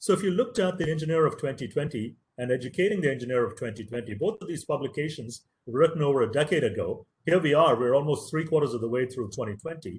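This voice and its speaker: A man talks at a very fast pace in a fairly high pitch. His intonation is lively and his voice somewhat breathy. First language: Tamil. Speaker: professor. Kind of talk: lecture.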